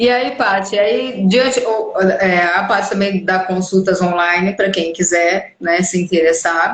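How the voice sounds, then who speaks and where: This woman has a plain, everyday voice at a medium pitch, with ordinary pitch variation, very even loudness, a fairly slow pace and hardly any pauses. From Brazil. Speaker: live stream host. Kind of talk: casual live interview chat.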